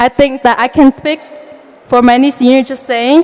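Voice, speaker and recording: A woman with a non-native accent speaks at a high pitch and a moderate pace. Noticeable background noise is present. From outside the US. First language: not English. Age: young. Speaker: valedictorian student. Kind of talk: graduation speech.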